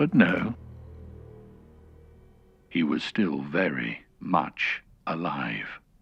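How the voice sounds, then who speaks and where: A man's put-on character voice, raspy and very deep, with very wide pitch swings, a very slow pace and long, frequent pauses. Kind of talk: audiobook narration.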